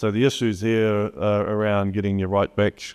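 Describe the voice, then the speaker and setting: A man with a New Zealand accent, fairly low in pitch, at a moderate pace with monotone, flat intonation. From New Zealand, Gisborne. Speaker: solution architect presenting at a conference. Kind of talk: conference presentation. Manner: hesitant, with many fillers.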